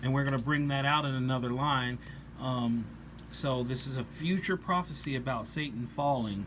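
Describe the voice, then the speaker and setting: With long, frequent pauses and audible room echo, a man speaks at a moderate pace in a medium pitch with ordinary pitch variation. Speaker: religious commentator on rock songs. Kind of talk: scripture-based song review. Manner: hesitant, many fillers.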